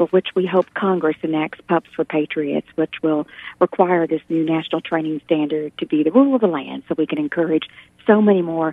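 A woman speaks at a very deep, low pitch. The sound is dry, with no echo. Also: ordinary pitch variation, fairly quick pace. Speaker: radio guest. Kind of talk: interview answer. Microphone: phone line.

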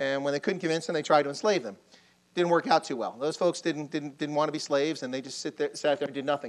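At a very fast pace, a man with a Baltimore accent speaks at a fairly high pitch with ordinary pitch variation. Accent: Baltimore American English. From Baltimore, US. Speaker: army officer lecturing on Africa. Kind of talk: lecture. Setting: lecture hall with audience, microphone. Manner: animated. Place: hall. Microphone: lapel.

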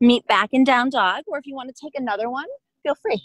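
A high-pitched woman's voice against a quiet background, dry with no echo. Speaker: yoga instructor. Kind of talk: guided yoga class, cueing poses and breath in a calm, steady, encouraging voice. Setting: outdoors at a park, online class. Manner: calm, soothing, unhurried, encouraging. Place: open country.

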